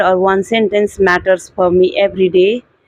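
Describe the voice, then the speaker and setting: A woman speaks with an Indian accent. Her pitch is medium and her intonation fairly even. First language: Hindi. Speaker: English learner vlogger. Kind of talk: casual monologue. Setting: at home indoors. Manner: halting.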